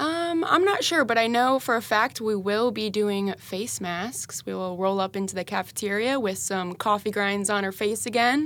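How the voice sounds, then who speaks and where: A woman with a plain, everyday voice and a fairly high pitch talks at a moderate pace with ordinary pitch variation and hardly any pauses. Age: 20s. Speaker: church apprentice and administrator. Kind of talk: devotional Bible discussion. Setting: studio.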